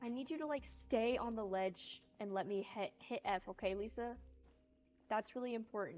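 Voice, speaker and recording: A woman speaks at a moderate pace with fairly high pitch and ordinary pitch variation. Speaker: video game streamer. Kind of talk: casual live-stream chat while gaming. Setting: live stream. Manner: animated. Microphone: unstable stream connection.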